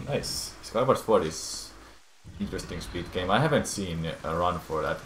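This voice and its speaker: A man speaks at a moderate pace in a very deep, low voice. The room echo is audible, and there is noticeable background noise. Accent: non-native. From Finland. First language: Finnish. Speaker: speedrunner and streamer. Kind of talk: live gameplay stream talk. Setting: live stream. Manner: halting.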